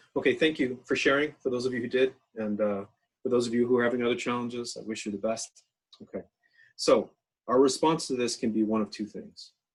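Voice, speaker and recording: A man speaks at a medium pitch with a Canadian accent. His pitch varies in an ordinary way. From Canada, northern New Brunswick. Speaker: education researcher and workshop speaker. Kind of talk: online workshop talk. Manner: fast; casual, animated.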